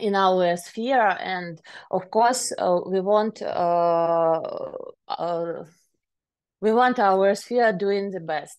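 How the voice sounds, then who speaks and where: A woman with a Ukrainian accent talks at a very slow pace in a medium pitch, with ordinary pitch variation and long, frequent pauses. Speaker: private enforcement officer. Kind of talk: conference talk. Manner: halting, many filler sounds.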